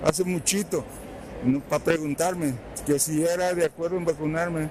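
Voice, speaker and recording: A man's fairly high pitch and fairly even intonation at a moderate pace, over noticeable background noise. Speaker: elderly vaccine recipient. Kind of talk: street interview.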